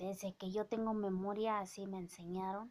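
A woman's dark, mellow voice at a fairly slow pace with monotone, flat intonation. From Oaxaca, Mexico (Mazatec community); Oaxaca, Mexico. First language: Mazatec (speaking Spanish). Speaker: vlogger; vlogger commenting on a celebrity. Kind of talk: casual vlog monologue. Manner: hesitant, many fillers. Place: home room. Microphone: phone near.

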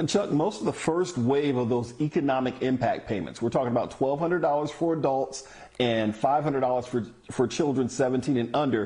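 A man speaks at a moderate pace with ordinary pitch variation. His loudness stays very even. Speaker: tv news reporter. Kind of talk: news report. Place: home room. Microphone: lapel.

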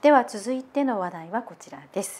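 With very wide pitch swings, a woman speaks at a moderate pace in a fairly high pitch. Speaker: assistant host. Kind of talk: news reading and casual chat. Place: studio.

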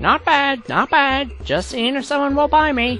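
This is a cartoonish character voice with a high pitch. It moves at a fairly slow pace over clear background noise. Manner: brash, sarcastic, joking.

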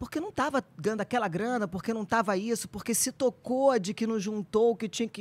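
A woman speaks at a moderate pace in a somewhat breathy voice, with a dry sound and no echo. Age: 50s. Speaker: actress and nutritionist; actress. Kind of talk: casual chat. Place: studio. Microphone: studio mic.

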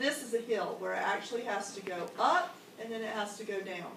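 A woman's voice amid light background noise and audible room echo. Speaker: teacher leading training. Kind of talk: instructional explanation to colleagues. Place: classroom. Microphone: camera far.

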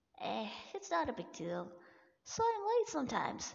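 A female-sounding put-on character voice, pitched extremely high, goes along at a moderate pace. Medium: dub. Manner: casual, dismissive.

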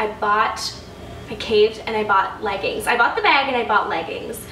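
Over light background noise and audible room echo, a woman talks with ordinary pitch variation. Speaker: lifestyle vlogger. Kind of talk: casual haul vlog chat. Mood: upbeat, enthusiastic. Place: home room.

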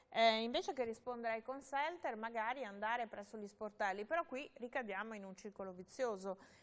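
A woman talks in an unremarkable speaking voice with hardly any pauses. Her pitch varies in an ordinary way, while her loudness swings a lot. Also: fairly high pitch for a woman, fairly quick pace. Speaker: tv host; guest. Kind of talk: interview on consumer topics. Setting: studio. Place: studio.

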